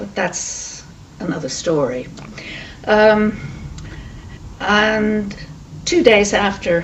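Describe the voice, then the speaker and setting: Over noticeable background noise, a woman speaks with audible room echo. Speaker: Holocaust refugee witness. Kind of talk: oral history testimony. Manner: hesitant, with many fillers.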